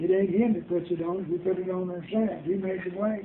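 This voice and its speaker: Speaking at a fairly quick pace, a man with a high pitch keeps his intonation monotone and flat. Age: 80s+. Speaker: grandparent telling family memories. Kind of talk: casual family interview.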